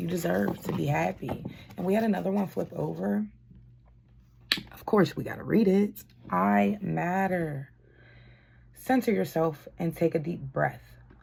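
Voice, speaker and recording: A woman with a very deep, low pitch and a dark, mellow tone speaks at a fairly slow pace with vocal fry, very wide pitch swings and long, frequent pauses. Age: adult. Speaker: tarot card reader. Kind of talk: spiritual card reading.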